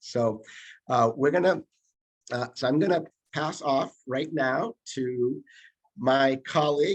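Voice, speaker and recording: Medium in pitch with ordinary variation, a man speaks in a plain, everyday voice, the sound dry and close with no echo over a quiet background. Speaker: public health trainer. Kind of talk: workshop presentation.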